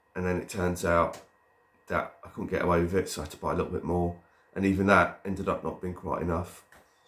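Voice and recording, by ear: Low-pitched with a fairly bright tone, a man speaks at a fairly quick pace with little pitch movement.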